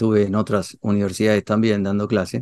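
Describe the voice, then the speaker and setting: The recording has a dry, close sound with no echo. A man with a dark, mellow tone and fairly low pitch speaks at a moderate pace. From Argentina. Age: 60s. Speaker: theology and philosophy professor. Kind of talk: interview. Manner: hesitant, many fillers and repetitions.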